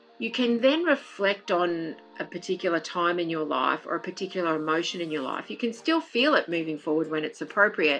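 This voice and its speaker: Over music in the background, a woman speaks with lively intonation at a fairly low pitch and a fairly quick pace, with hardly any pauses. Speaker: wellness coach and healer. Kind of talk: casual interview. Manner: fast; animated.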